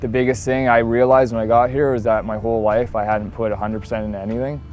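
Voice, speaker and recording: With music behind him, a man talks at a very fast pace in a medium pitch, his intonation fairly even. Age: 20s. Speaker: person in addiction recovery. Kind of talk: documentary interview answer.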